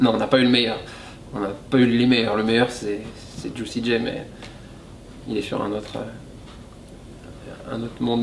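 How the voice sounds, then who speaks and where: A man speaks at a fairly slow pace with long, frequent pauses and fairly even intonation, amid noticeable background noise and audible room echo. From French-speaking Switzerland. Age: young. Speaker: rapper. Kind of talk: interview.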